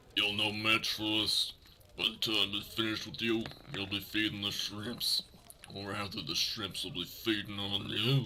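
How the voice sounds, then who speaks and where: A man's growling, put-on character voice at a fairly low pitch and moderate pace, over clear background noise. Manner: growling, menacing.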